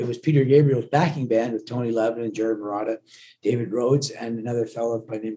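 This man talks very fast at a medium pitch, his dark, mellow tone carried on fairly even intonation. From Glasgow, Scotland, raised in Canada. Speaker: touring rock musician. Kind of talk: casual interview chat. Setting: on the road, remote call.

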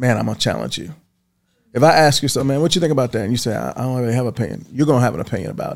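Talking very fast in an American accent, a man uses a medium pitch, lively intonation, big swings in loudness and some vocal fry. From Baltimore, Maryland. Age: 50s. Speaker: network marketing executive. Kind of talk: casual interview chat. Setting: studio.

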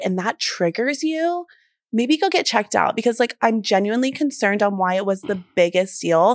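This voice has an animated tone and an American accent at a moderate pace. The sound is dry and close, with no echo. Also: woman. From US South. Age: 20s. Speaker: podcast co-host. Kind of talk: casual chat.

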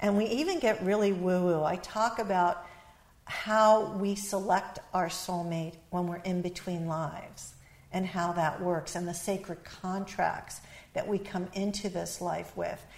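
Here a woman speaks at a medium pitch in an ordinary speaking voice. Her pace is fairly slow and her intonation fairly even. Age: 60s. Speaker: author and relationship expert. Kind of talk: interview.

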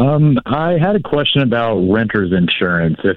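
A man speaks at a moderate pace in a normal speaking voice. His intonation is lively. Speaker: caller, small business owner. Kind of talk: call-in advice conversation. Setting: phone call.

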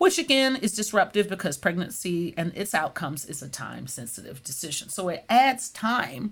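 In a very clean recording with a silent background, a woman speaks at a moderate pace with hardly any pauses, her medium-pitched, somewhat breathy voice making very wide pitch swings and big swings in loudness. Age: 50s. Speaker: nurse scientist. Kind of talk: interview.

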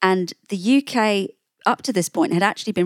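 With an English accent, a woman speaks at a moderate pace with ordinary pitch variation. The sound is dry and close, with no echo. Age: 40s. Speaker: journalist and author. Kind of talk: interview.

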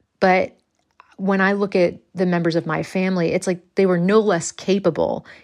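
At a medium pitch and a moderate pace, a woman talks with monotone, flat intonation. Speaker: actor and comedian. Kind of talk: casual chat. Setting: video call from another country.

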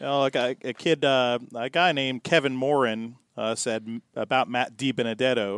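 In an ordinary speaking voice, a man talks at a moderate pace with hardly any pauses and fairly even intonation, the sound dry and close with no echo against a quiet background. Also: medium pitch for a man. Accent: American. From northern US. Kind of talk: casual chat.

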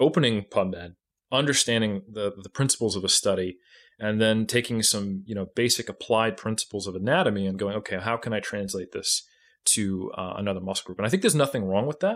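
An ordinary speaking voice from a man, medium in pitch, at a fairly quick pace, on a very clean recording with a silent background. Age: 30s. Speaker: natural bodybuilding coach and researcher. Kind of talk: casual chat.

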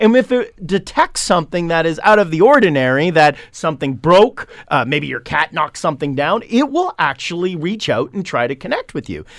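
Lively intonation in a Canadian accent, at a fairly quick pace with hardly any pauses. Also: man, high pitch for a man. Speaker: marketing company CEO, tech commentator. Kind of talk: radio tech segment, casual chat. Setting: radio studio. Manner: loud.

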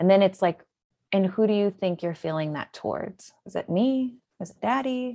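A woman speaks at a moderate pace with an American accent. Her tone is dark and mellow, and the background is quiet. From US Midwest, Illinois. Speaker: author and antiracist educator. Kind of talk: interview.

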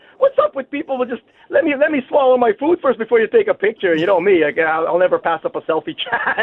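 An animated man's voice at an extremely high pitch with very wide pitch swings, at a very fast pace with hardly any pauses, over noticeable background noise. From Winnipeg, Manitoba, Canada. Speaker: fishing guide. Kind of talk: casual interview.

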